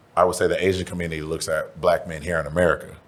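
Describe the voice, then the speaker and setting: The pace of speech is fairly quick. Noticeable background noise is present. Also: man. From Texas, Houston. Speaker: rapper and comedian. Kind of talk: interview. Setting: studio. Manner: casual, animated.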